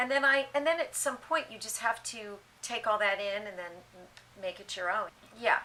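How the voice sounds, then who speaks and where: Here is a woman with a plain, everyday voice, pitched fairly high. She talks at a moderate pace with lively intonation and big swings in loudness. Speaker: stage actress. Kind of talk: interview answer.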